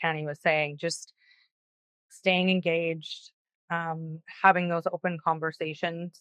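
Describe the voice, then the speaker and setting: A woman with a very deep, low pitch and a Canadian accent, monotone, flat intonation, a moderate pace and a quiet background. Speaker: panel guest with lived experience of housing. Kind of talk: panel discussion. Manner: loud; halting, many fillers.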